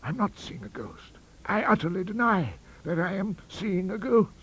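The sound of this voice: Doing a put-on character voice, a man speaks high in pitch at a moderate pace, with big pitch swings and a fairly bright tone.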